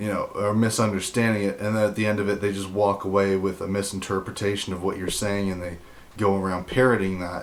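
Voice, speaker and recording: Flat, monotone intonation with audible room echo. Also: man, fairly low pitch for a man. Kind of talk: casual monologue to camera. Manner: halting.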